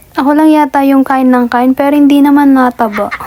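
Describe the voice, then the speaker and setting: Noticeable background noise surrounds this speaker. She is a woman talking at a fairly quick pace. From Philippines, Tarlac. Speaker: vlogger. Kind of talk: casual vlog narration.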